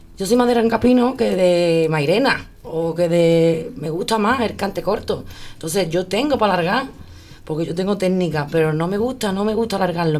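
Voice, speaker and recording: In a room with audible echo, a woman with a fairly low pitch talks at a moderate pace using lively intonation. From Andalusia, Spain. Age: 30s. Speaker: flamenco singer. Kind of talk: interview.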